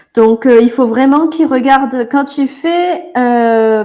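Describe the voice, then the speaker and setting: A woman's high-pitched voice, dark and mellow in tone, with a southern French accent and ordinary pitch variation. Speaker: artist giving drawing critique. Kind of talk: drawing critique in group call. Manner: hesitant, many fillers.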